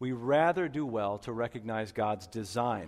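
A man talks in a plain, everyday voice at a medium pitch. His pace is moderate and his intonation lively. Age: 30s. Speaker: pastor. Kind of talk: sermon. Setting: church.

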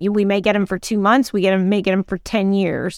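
This woman has a normal speaking voice at a medium pitch, talking at a moderate pace in a very clean recording with a silent background and a dry, close sound with no echo. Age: 50s. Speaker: HR consultant, podcast co-host. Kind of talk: casual chat.

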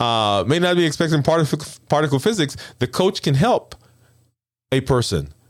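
On a very clean recording with a silent background, a man with an American accent speaks at a moderate pace and fairly high pitch, with vocal fry, very even loudness, lively intonation, an animated tone, and long, frequent pauses. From Brooklyn, New York. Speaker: endocrinologist and health coach. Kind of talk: solo talk show monologue.

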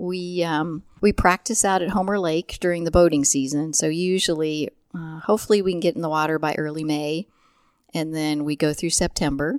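Heard on a very clean recording with a silent background, a woman speaks with a Midwestern American accent, fairly low pitch and fairly even intonation. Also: moderate pace. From central Illinois. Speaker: physical therapist and dragon boat paddler. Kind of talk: casual interview.

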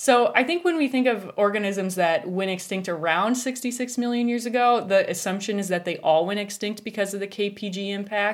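A woman with an American accent speaks in an ordinary speaking voice at medium pitch and a moderate pace, with ordinary pitch variation and hardly any pauses. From US, western South Dakota. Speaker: science communicator. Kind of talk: casual interview chat.

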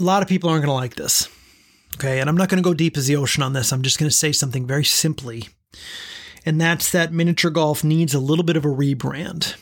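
A somewhat breathy man talks at a very fast pace and fairly high pitch, his loudness very even. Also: ordinary pitch variation. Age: 30s. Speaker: podcast host. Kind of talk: solo podcast recap.

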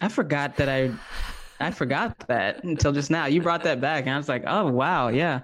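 A man with a plain, everyday voice, fairly high pitch and ordinary pitch variation, at a moderate pace in an American accent. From US South. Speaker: somatics teacher and movement facilitator. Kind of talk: interview conversation.

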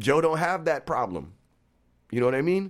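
Fairly quick and lively in intonation, a man speaks with vocal fry on a very clean recording with a silent background. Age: 40s. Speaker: barbershop owner. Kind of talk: casual chat.

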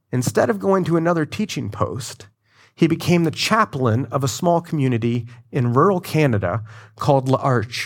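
On a very clean recording with a silent background, a man speaks in a plain, everyday voice, fairly high in pitch, at a moderate pace with lively intonation. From Florida. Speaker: pastor. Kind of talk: sermon.

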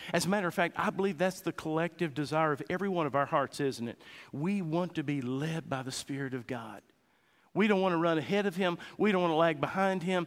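A man talks at a fairly quick pace with a high pitch and ordinary pitch variation. The recording is very clean, with a silent background. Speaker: pastor. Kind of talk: sermon; fervent closing prayer, spoken to God. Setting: church. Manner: earnest, pleading, heartfelt.

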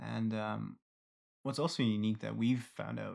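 A man talks at a moderate pace in a very clean recording with a silent background. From Ireland. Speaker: podcast co-host. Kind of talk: casual chat.

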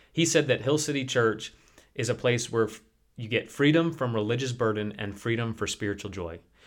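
A plain, everyday voice: a man with an American accent, medium pitch, ordinary pitch variation and a fairly quick pace. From US Midwest (Detroit suburbs, Chicago suburbs). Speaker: pastor. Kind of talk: casual chat.

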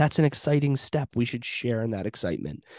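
A man with an ordinary speaking voice talks at a medium pitch with ordinary pitch variation against a quiet background. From Western Pennsylvania. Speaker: paramedic educator and podcast host. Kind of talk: informal solo talk.

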